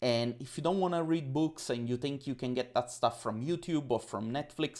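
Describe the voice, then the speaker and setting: A man with an Italian accent at a moderate pace, with ordinary pitch variation. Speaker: podcast guest, coach. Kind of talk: casual interview chat. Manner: talkative.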